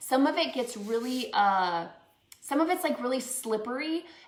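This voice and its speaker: A woman speaks in a Minnesotan accent at a high pitch with lively intonation. Audible room echo is present. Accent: Minnesota. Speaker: crafts instructor and small business owner. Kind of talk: live painting tutorial. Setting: live stream. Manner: casual, many filler words.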